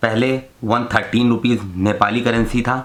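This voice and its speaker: Noticeable background noise runs under a man's voice. He speaks at a medium pitch in a monotone with flat intonation. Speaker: travel vlogger. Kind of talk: casual travel vlog.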